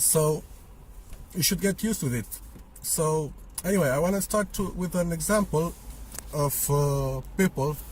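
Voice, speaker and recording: The delivery keeps a moderate pace with ordinary pitch variation, broken by long, frequent pauses. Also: man, fairly high pitch for a man. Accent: Romanian. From Romania. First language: Romanian. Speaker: vlogger. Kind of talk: opinion monologue. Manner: casual, hesitant with fillers.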